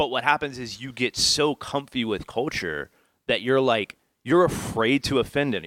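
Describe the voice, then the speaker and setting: Recorded very cleanly with a silent background and a dry, close sound with no echo, a man with an American accent talks at a moderate pace in an animated tone, using a medium pitch with ordinary pitch variation and some vocal fry. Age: 30s. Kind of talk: casual chat.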